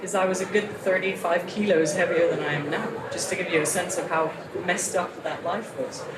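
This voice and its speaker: Speaking at a fairly quick pace with an American accent, a woman keeps a medium pitch and fairly even intonation amid noticeable background noise and audible room echo. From international upbringing (Asia, Europe, New York). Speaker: motivational speaker and author. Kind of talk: workshop talk. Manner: casual, conversational with many fillers. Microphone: poor audio from backup recording.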